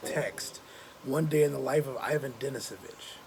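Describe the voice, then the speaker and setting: A man amid noticeable background noise. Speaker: high school teacher. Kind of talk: recorded lesson. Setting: outdoors, back patio. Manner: casual, conversational.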